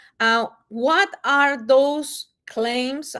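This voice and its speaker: Recorded very cleanly against a silent background, a woman with a Mexican accent speaks at a high pitch with lively intonation. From Mexico. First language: Spanish. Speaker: wellness product presenter. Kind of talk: live-stream sales presentation. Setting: livestream on multiple platforms. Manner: casual, many fillers.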